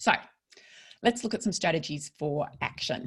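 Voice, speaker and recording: Talking at a fairly quick pace, a woman with an Australian accent uses a fairly low pitch, lively intonation, and vocal fry. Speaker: psychologist. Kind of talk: online workshop presentation. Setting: online webinar. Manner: fast.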